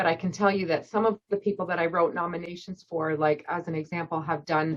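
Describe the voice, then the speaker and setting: In a Canadian accent, this is a plain, everyday voice with ordinary pitch variation. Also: woman. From Canada, Scarborough, Ontario. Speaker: volunteer coordinator at a seniors' charity. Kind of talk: casual Q&A at a club meeting.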